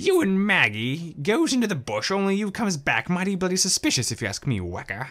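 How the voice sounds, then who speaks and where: A man does a put-on character voice at a high pitch. He goes at a fairly quick pace with hardly any pauses. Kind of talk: rough, colloquial. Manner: accusing, suspicious.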